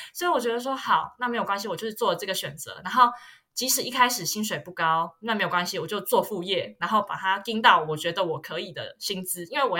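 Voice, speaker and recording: Amid noticeable background noise, a woman talks at a very fast pace in a Taiwanese accent, with medium pitch and lively intonation. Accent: Taiwanese Mandarin. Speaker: luxury marketing graduate student. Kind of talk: casual chat.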